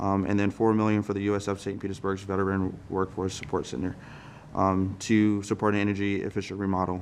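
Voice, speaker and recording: Against a quiet background, a man speaks very fast in a fairly low pitch with monotone, flat intonation. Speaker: congressional staff member. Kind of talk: interview. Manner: halting.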